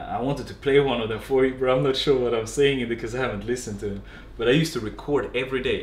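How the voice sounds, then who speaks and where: Audible room echo surrounds a man speaking with a Swedish accent. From Sweden. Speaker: fitness and dance coach. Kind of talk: webinar talk. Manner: animated.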